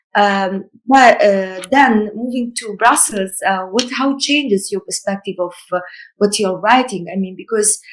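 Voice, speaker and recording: In an Italian accent, a woman speaks at a fairly slow pace. Her pitch is medium. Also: ordinary pitch variation. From Somalia, Mogadishu. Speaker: novelist. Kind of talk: virtual panel conversation. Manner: halting, many fillers.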